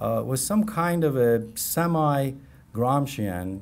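With a Persian accent, a man talks in a lively intonation. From Iran. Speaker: history professor. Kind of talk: lecture. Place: classroom. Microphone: podium.

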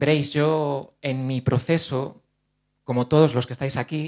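A man talks fairly slowly in a monotone, flat way. The background is quiet. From Spain, Ciudad Real province (La Mancha); Castilla-La Mancha, Spain. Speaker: actor and speaker on OCD; actor, speaker. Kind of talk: conference talk. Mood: earnest, personal, open. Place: hall. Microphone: handheld.

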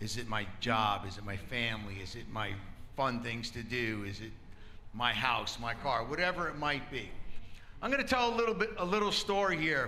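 A man's lively intonation and moderate pace come through light background noise. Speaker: lay preacher. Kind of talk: sermon. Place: church. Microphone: handheld.

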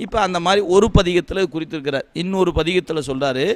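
This man's voice is high, and its pitch moves in an ordinary way. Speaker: Shaiva devotional teacher giving a discourse. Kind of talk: devotional discourse, speech to an audience answering a question. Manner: explanatory, conversational yet reverent.

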